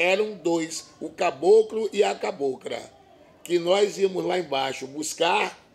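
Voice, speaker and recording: Through noticeable background noise, a man speaks at a very slow pace with a high pitch. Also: ordinary pitch variation. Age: 60s. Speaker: band master. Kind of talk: interview.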